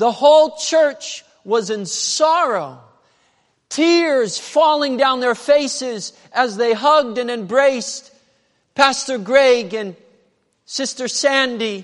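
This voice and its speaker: A West Coast accent at a very slow pace, with long, frequent pauses. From southern Oregon, US. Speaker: pastor. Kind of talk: sermon.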